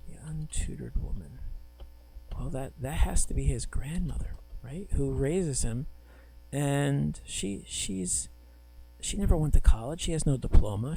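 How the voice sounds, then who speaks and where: The speaker is soft-spoken and keeps a moderate pace with long, frequent pauses. Music plays in the background. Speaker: professor. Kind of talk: lecture. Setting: recorded video lecture with screen. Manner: halting.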